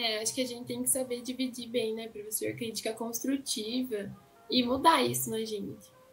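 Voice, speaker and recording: Music plays in the background as the speaker moves along at a moderate pace. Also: woman. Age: young. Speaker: student interviewer. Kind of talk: interview.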